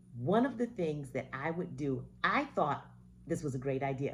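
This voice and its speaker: Vocal fry runs through a woman's very deep, low voice as she speaks at a fairly slow pace. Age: 60s. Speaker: retired vlogger. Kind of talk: casual monologue to camera.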